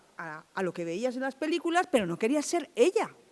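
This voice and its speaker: This is a woman speaking. She keeps a moderate pace. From Andalusia, Chiclana (Cádiz). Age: 60s. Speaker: film festival organizer. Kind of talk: panel talk.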